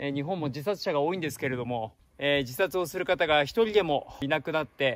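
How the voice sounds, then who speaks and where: A man is speaking over light background noise. The sound is dry, with no echo. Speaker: travel vlogger. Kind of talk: casual vlog chat. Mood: calm, earnest, reflective. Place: forest. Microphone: phone near.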